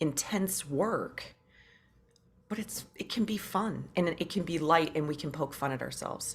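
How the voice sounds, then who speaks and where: With an American accent, a woman speaks fairly slowly at a very deep, low pitch, showing vocal fry and ordinary pitch variation. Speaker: podcast co-host. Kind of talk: casual chat.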